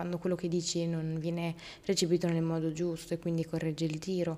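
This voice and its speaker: A woman speaks at a moderate pace in a fairly low pitch, her tone dark and mellow. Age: 20s. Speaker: podcast host. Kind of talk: personal monologue. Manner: halting.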